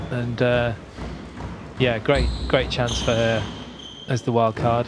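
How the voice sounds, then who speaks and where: Over noticeable background noise, a man at medium pitch speaks at a very slow pace with monotone, flat intonation and very even loudness. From England. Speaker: squash commentator. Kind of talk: live commentary.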